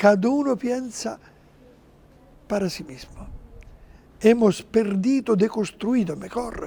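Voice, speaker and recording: A man with an Italian accent talks very slowly in a high voice, with ordinary pitch variation. His loudness swings widely, and he takes long, frequent pauses. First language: Italian (speaking Spanish). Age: 70s. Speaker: interview guest, religious figure. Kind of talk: TV interview. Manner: halting.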